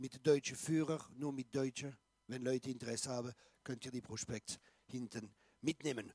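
In a dry, close sound with no echo, a man talks at a moderate pace with a dark, mellow tone, fairly even intonation, and long, frequent pauses. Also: medium pitch for a man. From Alsace, France. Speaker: pastor and evangelist. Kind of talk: sermon.

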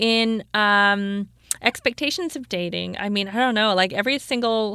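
A woman with a Canadian accent uses a normal speaking voice at medium pitch, with ordinary pitch variation. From Canada, Toronto. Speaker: stand-up comedian. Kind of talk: casual chat. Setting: studio.

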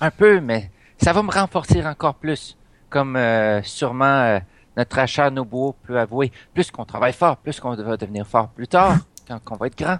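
A man with an ordinary speaking voice talks at medium pitch and a moderate pace, his intonation lively and the sound dry and close with no echo. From Canada, moved between provinces (military family). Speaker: role-playing game player. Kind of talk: casual role-play chat.

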